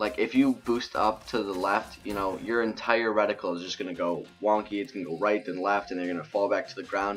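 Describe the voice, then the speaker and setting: Music plays in the background as a man speaks at a fairly low pitch. His intonation stays fairly even. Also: fairly quick pace, hardly any pauses. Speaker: gaming YouTuber. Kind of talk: gameplay commentary. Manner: halting, stuttering a little.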